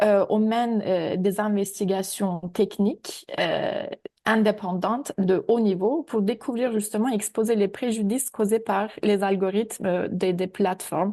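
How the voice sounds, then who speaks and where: A woman's fairly high, dark and mellow voice at a fairly slow pace, with ordinary pitch variation against a quiet background. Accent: non-native. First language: not French (speaking French). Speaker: AI ethics researcher. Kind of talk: webinar presentation. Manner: hesitant, many fillers.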